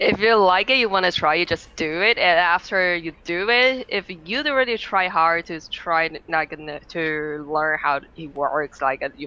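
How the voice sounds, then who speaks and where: This speaker is a woman with a non-native accent. She talks at a moderate pace. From Taiwan. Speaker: streamer. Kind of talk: podcast interview. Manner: halting.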